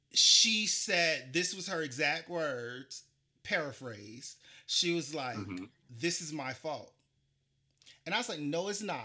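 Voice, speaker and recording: A man talks at a fairly slow pace with long, frequent pauses and lively intonation. His fairly high voice has a bright, sharp tone and vocal fry. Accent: South Carolina. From US South, Charleston, South Carolina. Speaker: podcast host. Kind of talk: casual interview chat.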